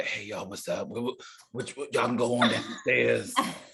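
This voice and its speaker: Speaking at a moderate pace, a man does a put-on character voice. It sounds raspy. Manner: casual greeting.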